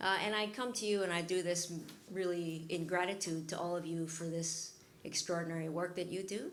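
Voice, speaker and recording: A woman with a fairly low pitch speaks at a fairly quick pace with fairly even intonation, amid noticeable background noise and audible room echo. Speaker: workshop facilitator. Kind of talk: guided group exercise.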